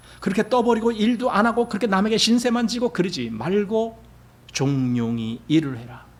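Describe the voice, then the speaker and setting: Audible room echo surrounds a man whose high pitch rises and falls with lively intonation. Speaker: pastor. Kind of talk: sermon. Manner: conversational.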